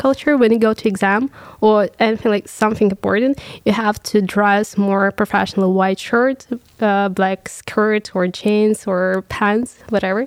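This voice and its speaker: A woman with a Russian accent speaks at a moderate pace, fairly high in pitch, with fairly even intonation. The sound is dry and close with no echo, on a very clean recording with a silent background. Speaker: business student. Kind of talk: panel discussion.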